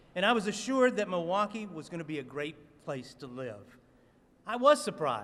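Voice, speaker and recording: With a slight Southern US accent, a man speaks in a lively intonation. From US South. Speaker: city commission member. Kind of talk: press conference speech. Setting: city hall rotunda press conference.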